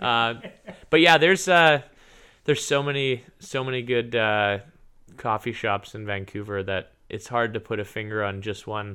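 A plain, everyday voice from a man with a Canadian accent, medium pitch, ordinary pitch variation and a moderate pace, on a very clean recording with a silent background. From Canada. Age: 30s. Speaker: professional triathlete. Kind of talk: interview.

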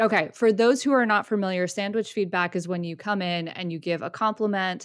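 A woman with a plain, everyday voice, a fairly quick pace, ordinary pitch variation and a quiet background. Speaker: podcast host. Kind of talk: casual conversational podcast chat.

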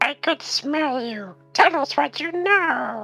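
A squeaky, high-pitched put-on character voice speaks at a very slow pace. Faint music sits in the background. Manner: menacing interrogating.

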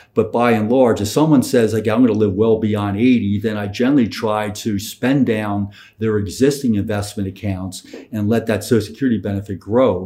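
A dark, mellow tone with an American accent, fairly quick pace and fairly even intonation. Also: man. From Philadelphia. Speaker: financial planner. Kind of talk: casual interview.

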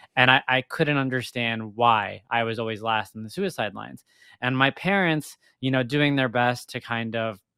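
This man uses a normal speaking voice. He talks at a moderate pace and a medium pitch. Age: 30s. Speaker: cancer survivor and endurance athlete, life coach. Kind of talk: casual interview.

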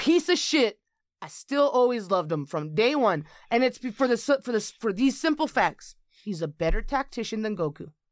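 A woman speaks at a fairly quick pace in a high voice with very wide pitch swings, recorded very cleanly against a silent background. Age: 20s. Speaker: podcast guest. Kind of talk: casual chat.

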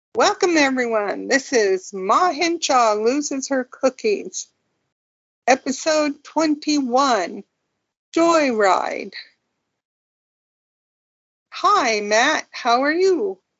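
Putting on a robotic character voice, a woman speaks high-pitched at a very slow pace. Her long, frequent pauses break up the speech. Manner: robotic, stiff, affected.

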